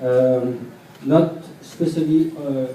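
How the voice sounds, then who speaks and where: Over noticeable background noise and audible room echo, a man talks in a fairly high voice with fairly even intonation. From France. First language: French. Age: 30s. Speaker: hip-hop dancer. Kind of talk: panel discussion. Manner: halting.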